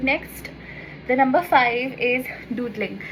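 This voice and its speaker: High-pitched woman's voice in a Bengali accent, with noticeable background noise. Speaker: lifestyle YouTuber. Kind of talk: casual vlog tutorial. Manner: chatty, informal.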